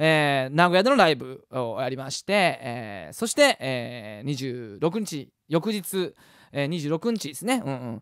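A man speaks with lively intonation against a quiet background, the sound dry with no echo. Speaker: musician hosting weekly web show. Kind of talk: casual talk show chat. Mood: cheerful, playful. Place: home room. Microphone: studio mic.

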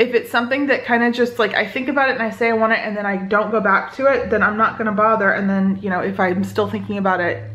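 A woman talks at a very fast pace with hardly any pauses. Her intonation stays fairly even. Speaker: family vlogger. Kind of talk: casual vlog chat. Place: home room. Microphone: phone near.

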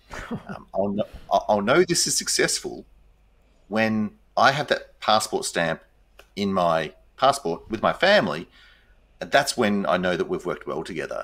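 A man talks at a moderate pace, with long pauses coming often. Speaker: interview guest. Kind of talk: interview answer. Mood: warm, reflective. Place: home room.

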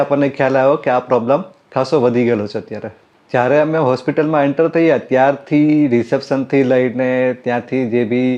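This man has an ordinary speaking voice, fairly high in pitch, with fairly even intonation. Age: 40s. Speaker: optician, patient. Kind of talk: testimony.

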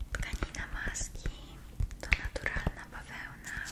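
A woman whispers at a very slow pace. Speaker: ASMR creator. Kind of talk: ASMR role-play, whispered makeup and skincare session. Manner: whispered, soft-spoken. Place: home room.

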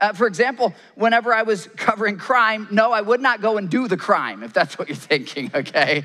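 With an American accent, a man uses a raised, projected voice, high in pitch and bright, sharp in tone, with ordinary pitch variation. He moves at a fairly quick pace with hardly any pauses over a quiet background. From Michigan. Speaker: pastor and journalist; pastor, journalist. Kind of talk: sermon. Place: stage. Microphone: headset.

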